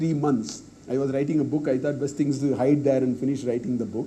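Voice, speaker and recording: There is audible room echo as a man with a Tamil accent speaks at a fairly high pitch. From South India, Tamil-speaking. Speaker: professor. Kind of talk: Q&A after lecture. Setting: university auditorium.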